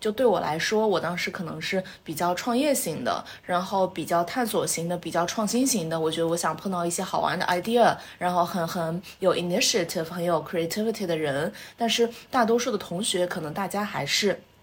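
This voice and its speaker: Noticeable noise sits behind a woman who talks at a fairly quick speed. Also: ordinary pitch variation. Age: 20s. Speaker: MBA graduate and entrepreneur. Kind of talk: casual interview chat.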